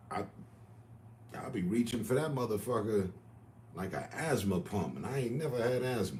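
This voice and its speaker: A man talks at a moderate pace with long, frequent pauses. Room echo is audible. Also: medium pitch for a man, lively intonation. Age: 50s. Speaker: livestreamer. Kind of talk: casual chat.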